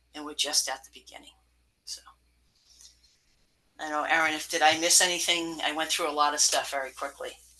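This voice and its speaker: The speech moves at a fairly quick pace but breaks into long, frequent pauses. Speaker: stormwater engineer. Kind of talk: technical presentation at public meeting. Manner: fast.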